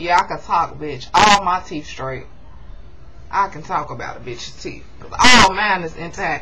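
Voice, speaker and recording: Set against noticeable background noise and audible room echo, a woman speaks at a fairly low pitch. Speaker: YouTube reality TV recap vlogger. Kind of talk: casual TV recap vlog. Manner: fast; animated.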